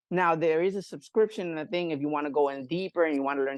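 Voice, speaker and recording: With a Spanish accent and an animated tone, a man speaks at a fairly high pitch with lively intonation. The sound is dry and close, with no echo and a quiet background. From Puerto Rico. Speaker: barber and scalp pigmentation artist. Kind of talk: casual interview chat. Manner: halting, many fillers.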